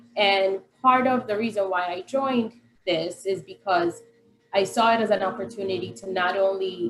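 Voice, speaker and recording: A woman in a Spanish accent, fairly slow, with lively intonation and music in the background. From Colombia, Medellin. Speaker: parent advocate and care coordinator. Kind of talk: panel self-introduction.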